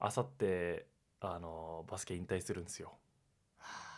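At a fairly slow pace, a man with a very deep, low pitch speaks with fairly even intonation. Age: 20s. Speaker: podcast co-host, university student. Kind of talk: casual chat; show intro tagline.

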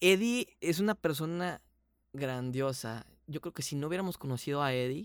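A plain, everyday voice moves at a moderate pace with lively intonation. The sound is dry and close, with no echo. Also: man. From Mexico, Hermosillo, Sonora. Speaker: voice actor and dubbing director. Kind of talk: casual interview. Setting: video call.

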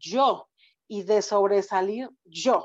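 A woman's voice at a medium pitch, with ordinary pitch variation against a quiet background. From Mexico. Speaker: public speaking club member. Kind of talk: interview.

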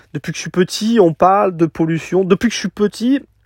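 A man speaks at a moderate pace in an unremarkable speaking voice with ordinary pitch variation. The sound is dry and close with no echo, in a very clean recording with a silent background. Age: 30s. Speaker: podcaster, van-life nomad. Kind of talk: solo podcast monologue. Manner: casual, with many fillers.

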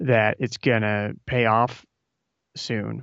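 The background is quiet. A man speaks very slowly in a Midwestern American accent. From Nebraska. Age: 30s. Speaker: author and podcaster. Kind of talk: casual interview chat. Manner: halting, many repetitions.

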